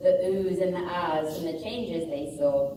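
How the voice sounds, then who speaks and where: A woman speaks at a moderate pace and fairly low pitch with lively intonation, amid noticeable background noise and audible room echo. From England. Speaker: school staff member, former teacher. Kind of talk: casual address to students; reading aloud.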